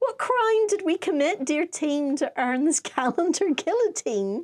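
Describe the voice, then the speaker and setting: A woman with an extremely high pitch speaks at a fairly slow pace, her pitch swinging very widely in a dry, close sound with no echo. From Ireland. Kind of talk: humorous poetry reading.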